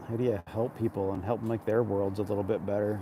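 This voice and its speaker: A man's fairly low, dark, mellow voice, somewhat breathy, fairly quick, in a monotone, flat intonation. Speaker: live streamer. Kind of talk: casual reflective live chat. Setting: outdoors at a harbor. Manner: calm.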